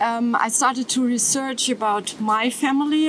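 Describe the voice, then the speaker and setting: A woman with a German accent speaks in a high voice over noticeable background noise. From Germany, near Stuttgart. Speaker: descendant of a Nazi perpetrator. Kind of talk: testimony. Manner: halting.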